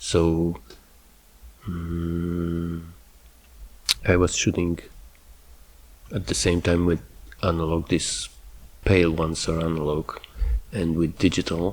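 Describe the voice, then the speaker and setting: A man speaks very slowly with a Slavic accent, leaving long, frequent pauses. His pitch is very deep and low, and his intonation stays monotone and flat. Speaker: photographer. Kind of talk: tutorial. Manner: halting; casual, with filler words.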